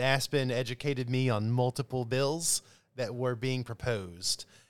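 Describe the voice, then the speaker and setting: A man's medium-pitched voice with ordinary pitch variation, at a moderate pace. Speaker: podcast co-host, university administrator. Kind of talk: casual chat. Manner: animated.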